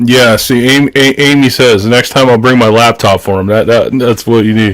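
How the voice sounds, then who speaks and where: This man's voice sits at a medium pitch with fairly even intonation. He keeps a moderate pace and very even loudness. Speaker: podcast co-host. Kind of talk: casual chat.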